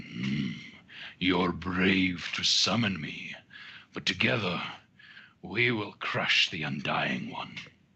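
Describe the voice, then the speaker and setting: A man puts on a rumbling character voice with a very deep, low pitch, speaking very slowly with long, frequent pauses. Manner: ominous, commanding.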